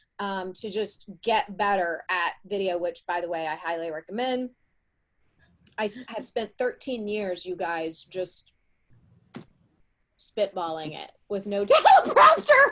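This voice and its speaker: Speaking in a Southern US accent, a woman with a medium pitch and a bright, sharp tone moves at a fairly slow pace with long, frequent pauses. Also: ordinary pitch variation. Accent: Southern US drawl. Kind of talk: live panel discussion. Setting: live video stream.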